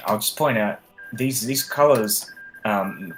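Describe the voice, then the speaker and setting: A voice at a moderate pace plays over music in the background. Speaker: gaming streamer. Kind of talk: let's play commentary. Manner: halting.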